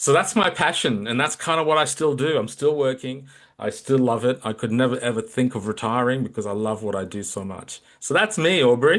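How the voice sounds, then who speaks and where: Speaking at a fairly quick pace, a man with a medium pitch and a strong Australian accent uses lively intonation. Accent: very Australian. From Australia (Melbourne), emigrated from Kolkata at 12. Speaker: leadership coach. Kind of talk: interview conversation.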